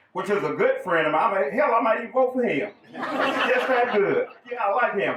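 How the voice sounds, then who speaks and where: A man speaks with a Southern accent. Noticeable background noise is present. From US South. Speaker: political candidate. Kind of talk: campaign speech. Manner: animated.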